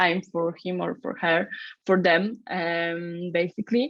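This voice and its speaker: A woman with a Polish accent speaks with ordinary pitch variation. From Poland. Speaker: startup founder. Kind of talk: interview. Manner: halting.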